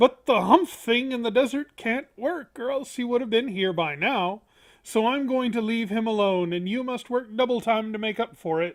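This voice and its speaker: Using a put-on character voice, a woman with a fairly high pitch speaks at a moderate pace. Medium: read story.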